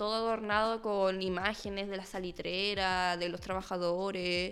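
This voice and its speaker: A woman with an ordinary speaking voice talks at a moderate pace and medium pitch. Her intonation is fairly even, and the recording is very clean with a silent background. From northern Chile (Arica, Iquique). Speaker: history student. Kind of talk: casual interview.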